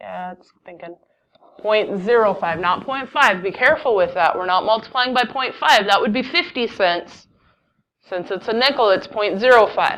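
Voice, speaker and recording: An unremarkable speaking voice moves at a moderate pace with lively intonation and big swings in loudness. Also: woman, fairly high pitch for a woman. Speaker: math teacher. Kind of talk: classroom lecture.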